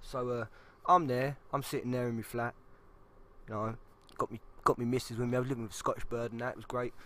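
A man with a London accent talks at a very fast pace in a medium-pitched, bright, sharp tone, his intonation monotone and flat, broken by long, frequent pauses. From South East London. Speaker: podcast co-host. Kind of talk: casual chat.

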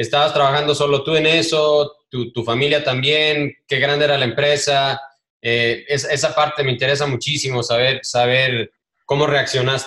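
The tone is bright and sharp, the intonation monotone and flat, and the loudness very even. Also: man, fairly high pitch for a man, moderate pace. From Ecuador. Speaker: podcast host. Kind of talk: interview.

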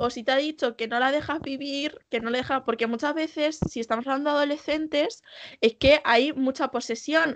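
Her voice is high, with fairly even intonation. The woman is recorded dry and close with no echo, against a quiet background. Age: young. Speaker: podcast co-host. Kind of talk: casual chat.

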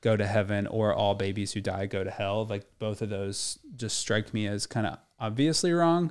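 A man with an ordinary speaking voice talks at a moderate pace with a fairly low pitch and ordinary pitch variation, on a very clean recording with a silent background. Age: 30s. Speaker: podcast co-host discussing faith. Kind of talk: casual faith discussion.

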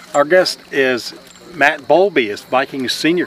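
A man with a fairly high pitch at a moderate pace, over noticeable background noise. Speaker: sports interviewer and announcer. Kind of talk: interview.

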